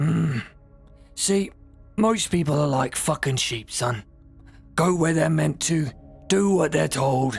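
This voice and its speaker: A raspy put-on character voice with lively intonation goes at a fairly slow pace, its loudness very even, with faint music in the background. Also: man, fairly high pitch for a man. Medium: fan dub. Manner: coarse, aggressive.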